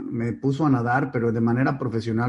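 Against a quiet background, the speaker's voice comes across somewhat breathy. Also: man. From Mexico, Mexico City and Monterrey. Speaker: company founder and CEO. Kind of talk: interview. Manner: animated.

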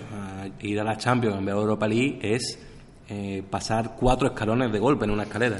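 An unremarkable speaking voice from a man, fairly low in pitch, with fairly even intonation and a moderate pace. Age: 30s. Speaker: football podcast host. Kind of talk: casual chat.

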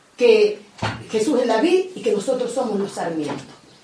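Lively intonation over noticeable background noise, with audible room echo. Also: woman. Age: 60s. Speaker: catechist. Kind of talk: catechesis talk.

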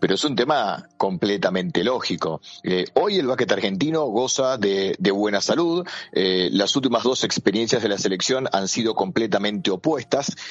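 Talking at a moderate pace, a man with a medium pitch uses lively intonation and very even loudness. Noticeable background noise is audible. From Argentina. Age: 40s. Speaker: basketball journalist and commentator. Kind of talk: interview. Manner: halting, frequent fillers and repeats.

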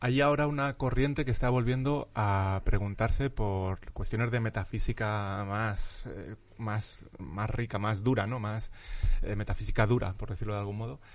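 This man has a normal speaking voice, fairly low in pitch, with ordinary pitch variation at a moderate pace. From Spain, Madrid (Vallecas). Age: 30s. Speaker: philosophy professor. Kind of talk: casual interview chat.

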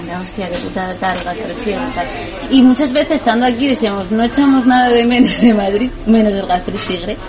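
Against crowd noise in the background and audible room echo, the speech keeps a moderate pace with ordinary pitch variation. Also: woman, fairly high pitch for a woman. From Asturias, Spain. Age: 30s. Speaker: entrepreneur. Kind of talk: casual interview.

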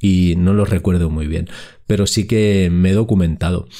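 A man is speaking. His tone is dark and mellow. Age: 50s. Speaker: podcast host. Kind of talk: solo podcast monologue.

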